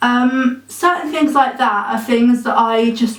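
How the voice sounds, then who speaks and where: A woman speaks with an English accent and fairly even intonation. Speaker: vlogger. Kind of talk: personal vlog. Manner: casual, many filler ums.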